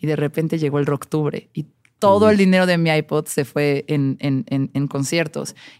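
Very deep, low pitch and ordinary pitch variation from a woman. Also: moderate pace, dry, close sound with no echo. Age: 30s. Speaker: music journalist and DJ. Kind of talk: casual chat.

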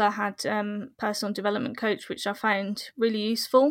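On a very clean recording with a silent background, a woman speaks in a fairly high, monotone, flat voice at a moderate pace. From English Midlands, Solihull. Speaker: social entrepreneur. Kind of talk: interview.

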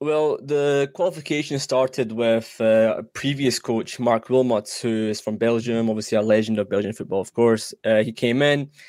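A man with a Scottish accent speaks at medium pitch with hardly any pauses. The recording is very clean, with a silent background. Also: ordinary pitch variation, moderate pace. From Iranian heritage, lives in Scotland. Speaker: soccer podcaster. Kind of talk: casual sports chat.

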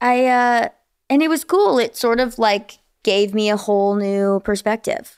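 With a plain, everyday voice, a woman speaks at a fairly slow pace and fairly high pitch, with ordinary pitch variation and very even loudness, in a very clean recording with a silent background. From New Jersey. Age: 20s. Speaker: singer. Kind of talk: casual interview chat.

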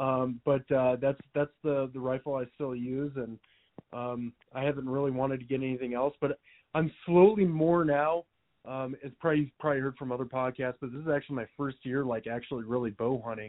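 With an American accent, a man talks at a fairly quick pace in an unremarkable speaking voice and fairly even intonation. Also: medium pitch for a man. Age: 20s. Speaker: hunting gear business owner, military veteran. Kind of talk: casual chat.

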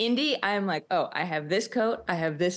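A woman speaks at a moderate pace in an unremarkable speaking voice, her pitch medium. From Boston. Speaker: sports podcast co-host. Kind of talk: casual chat.

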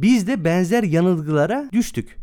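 The tone is dark and mellow, the pace moderate. The recording is very clean with a silent background. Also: man. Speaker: podcast co-host on marketing. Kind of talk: casual podcast talk.

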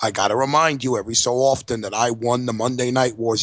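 Talking at a fairly quick pace, a man with a New York accent uses a medium pitch. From New York City. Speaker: podcast co-host. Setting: studio.

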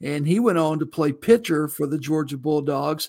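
Here is a man with a plain, everyday voice and an American accent, pitched fairly high with ordinary pitch variation. He speaks at a moderate pace on a very clean recording with a silent background. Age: 50s. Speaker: college football reporter. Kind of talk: sports preview interview.

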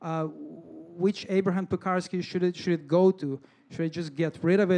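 Someone with a Russian accent speaks at a fairly quick pace with fairly even intonation. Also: man. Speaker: storyteller, software developer. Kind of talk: live personal story. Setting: stage with audience. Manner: halting, hesitant, deadpan.

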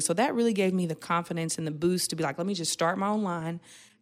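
Very fast and fairly low in pitch, a woman talks in an American accent on a very clean recording with a silent background. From Oklahoma, Tulsa. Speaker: beauty entrepreneur. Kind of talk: interview. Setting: studio.

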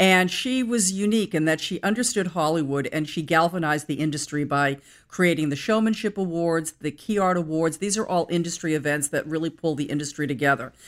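Fairly quick with hardly any pauses, a woman with an American accent uses an ordinary speaking voice at a fairly low pitch with ordinary pitch variation. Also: very clean recording, silent background. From US Northeast, Boston area. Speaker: publishing executive. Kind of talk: interview. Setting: office.

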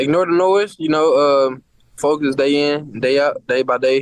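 A normal speaking voice from a man at medium pitch and moderate pace. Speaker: NFL player. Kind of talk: interview.

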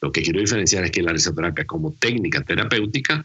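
This voice moves at a fairly quick pace and carries vocal fry. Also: man. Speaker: humorist and laughter therapist. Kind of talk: casual interview.

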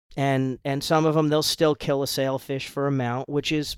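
A man talks at a fairly quick pace in a fairly high, monotone voice with flat intonation. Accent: American. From US Northeast, Rhode Island. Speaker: fishing boat captain. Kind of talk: casual chat.

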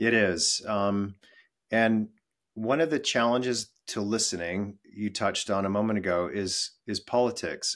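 A plain, everyday voice with an American accent moves at a fairly slow pace with fairly even intonation. The recording is very clean, with a silent background. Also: man, fairly low pitch for a man. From western US. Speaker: employee experience executive. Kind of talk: interview.

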